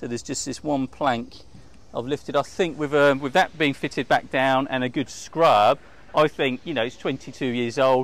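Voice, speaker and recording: The voice shows ordinary pitch variation at a moderate pace, with a dry sound and no echo. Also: man. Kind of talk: walkthrough tour commentary. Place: waterside. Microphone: lapel.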